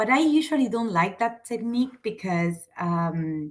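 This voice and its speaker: A woman speaks with an Argentine accent. Her intonation is lively. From Argentina. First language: Spanish. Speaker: teacher. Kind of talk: lecture. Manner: halting.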